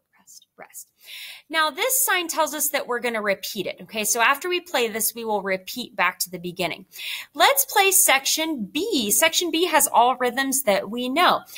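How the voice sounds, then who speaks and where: Raising and projecting her voice, a woman with a bright, sharp, high-pitched tone speaks at a moderate pace, with very wide pitch swings and big swings in loudness. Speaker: elementary music teacher. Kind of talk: online music lesson.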